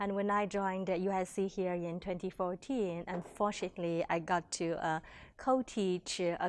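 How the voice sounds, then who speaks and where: Speaking with a Chinese accent, a woman uses a fairly low pitch, fairly even intonation and a moderate pace. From China. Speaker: education professor. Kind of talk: workshop presentation. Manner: hesitant, many fillers.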